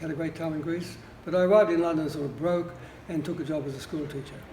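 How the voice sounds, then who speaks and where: A man's fairly high, monotone, flat voice at a very fast pace, with audible room echo. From Australia. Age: 80s+. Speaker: public housing tenant, retired lawyer and artist. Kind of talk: interview.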